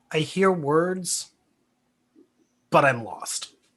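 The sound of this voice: A middle pitch carries this put-on character voice.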